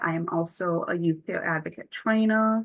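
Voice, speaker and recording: This voice has a Buffalo accent. Its pitch varies in an ordinary way. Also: woman. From Buffalo, New York. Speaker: youth peer advocate trainer. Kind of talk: training workshop.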